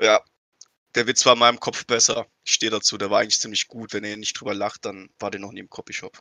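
This man's voice is fairly low and rushes at a very fast pace in a flat monotone. His loudness swings widely. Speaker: podcast co-host. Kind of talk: casual chat.

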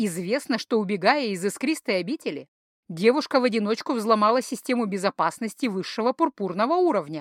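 A natural reading voice with lively intonation sounds out over a quiet background.

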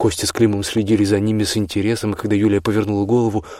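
The clip is plain reading aloud. The text is read straight through.

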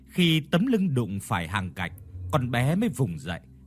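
The reading voice sounds unforced.

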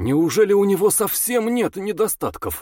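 In a put-on character voice pitched high, a man speaks at a moderate pace on a very clean recording with a silent background. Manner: feigning naivety.

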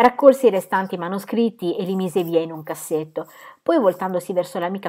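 A natural reading voice carries the clip.

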